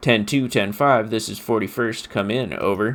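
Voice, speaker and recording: Using a put-on character voice, a man speaks at a moderate pace with medium pitch and fairly even intonation. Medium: actual play. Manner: clipped, procedural.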